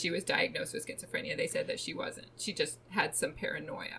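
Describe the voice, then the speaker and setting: A woman speaks at a moderate pace. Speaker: true crime podcast host. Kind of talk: casual chat, storytelling of a true crime case.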